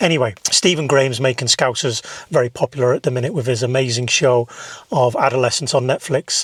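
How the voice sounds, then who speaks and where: Over noticeable background noise, a man talks fairly quickly, his sound dry and close with no echo. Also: medium pitch for a man, ordinary pitch variation. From northern England, Whiston near Liverpool. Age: middle-aged. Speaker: film director and content creator. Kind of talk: casual vlog monologue. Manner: animated.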